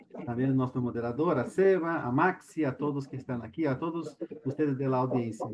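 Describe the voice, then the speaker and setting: A man speaks with a Brazilian accent. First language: Portuguese (speaking Spanish). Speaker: panel speaker, lawyer and doctoral student. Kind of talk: panel talk. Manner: halting, many fillers.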